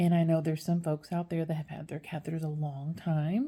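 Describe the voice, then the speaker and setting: A woman's very deep, low voice comes out somewhat breathy, dark and mellow, with monotone, flat intonation. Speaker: dialysis care worker. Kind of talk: casual explainer video. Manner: hesitant, many fillers and repeated words.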